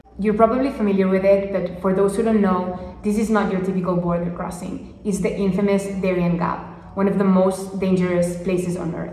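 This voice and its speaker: With audible room echo, a woman speaks at a fairly quick pace in a monotone, flat manner with hardly any pauses. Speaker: travel vlogger. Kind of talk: casual vlog chat. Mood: earnest, thoughtful. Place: home room. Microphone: phone near.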